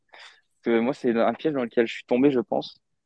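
A man talks at a medium pitch for a man, moving it with ordinary variation. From France, Moselle. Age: 20s. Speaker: amateur endurance athlete. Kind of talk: podcast interview. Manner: hesitant.

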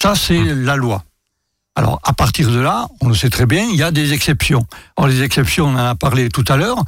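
With a southern French accent, a man speaks at a moderate pace and medium pitch with vocal fry. His intonation is lively while his loudness stays very even. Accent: southern French lilt. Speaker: consumer association president. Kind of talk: radio interview. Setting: radio studio with student audience.

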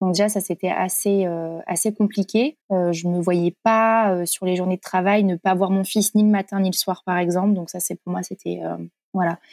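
On a very clean recording with a silent background, a woman speaks at a medium pitch and moderate pace in a monotone, flat intonation, the sound dry and close with no echo. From France, Corrèze. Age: 30s. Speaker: blogger and content creator, former nurse. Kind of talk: casual interview. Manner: hesitant, many fillers.

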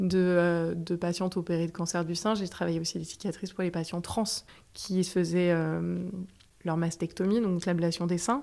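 A woman's fairly low voice at a fairly slow pace, in a very clean recording with a silent background. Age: 30s. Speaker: physiotherapist. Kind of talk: testimony. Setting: home apartment.

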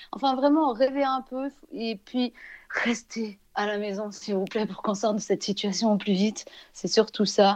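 Over a quiet background, a woman with a normal speaking voice talks at a fairly slow pace, her pitch fairly high with ordinary variation. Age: 30s. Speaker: Instagram influencer. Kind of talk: interview.

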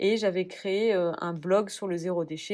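A woman speaks in a plain, everyday voice at medium pitch. The background is quiet. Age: 30s. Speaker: cosmetics brand co-founder. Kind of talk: interview.

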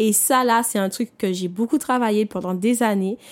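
A woman talks in an unremarkable speaking voice at a moderate pace. Her pitch varies in an ordinary way, and the sound is dry and close with no echo. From Martinique. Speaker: personal development podcaster. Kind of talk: motivational monologue. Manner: conversational, with fillers.

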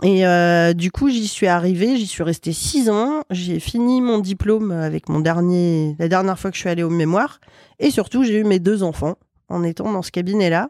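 At a moderate pace and with ordinary pitch variation, the voice has a dark, mellow tone on a very clean, dry, close recording with no echo and a silent background. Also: woman, medium pitch for a woman. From western France (Loire-Atlantique). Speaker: chartered accountant and business owner. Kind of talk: casual interview.

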